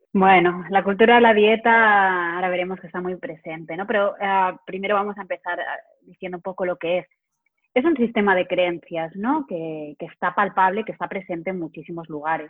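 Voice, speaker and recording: A woman with an unremarkable speaking voice talks at a fairly quick pace, her medium pitch moving with ordinary variation. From Spain, Barcelona. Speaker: psychologist and health coach. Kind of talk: interview conversation.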